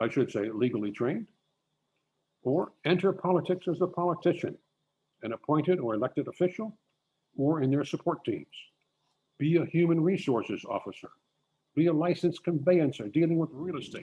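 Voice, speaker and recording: Fairly quick yet with long, frequent pauses, a man speaks in a fairly high pitch with a dark, mellow tone, vocal fry and lively intonation. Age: 80s+. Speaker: lawyer and conference speaker. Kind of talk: lecture.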